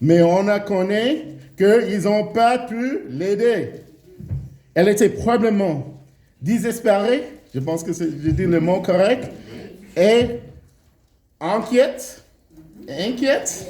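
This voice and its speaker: High-pitched for a man, he speaks at a very slow pace with lively intonation and long, frequent pauses, and audible room echo surrounds him. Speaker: preacher. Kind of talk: sermon. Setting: church. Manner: halting, many hesitations.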